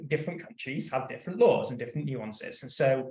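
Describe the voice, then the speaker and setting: A man with a British accent speaks in a somewhat breathy voice at medium pitch, with ordinary pitch variation and audible room echo. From UK. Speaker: in-house counsel panelist. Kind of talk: panel discussion. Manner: halting, many repetitions.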